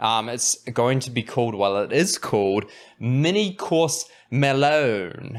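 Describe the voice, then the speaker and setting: This very clean recording with a silent background captures a man. He talks at a fairly slow pace with lively intonation. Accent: New Zealand. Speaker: podcast host and anxiety coach. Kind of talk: tutorial. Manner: casual, halting with fillers.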